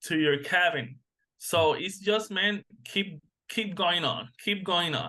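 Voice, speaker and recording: Speaking very slowly in a Spanish accent, a man uses a high pitch with ordinary pitch variation. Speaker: massage therapist. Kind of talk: interview. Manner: halting.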